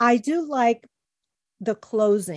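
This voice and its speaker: Recorded very cleanly against a silent background, dry and close with no echo, a woman speaks with a Spanish accent. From Chicago, US. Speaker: podcast host. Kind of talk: casual interview.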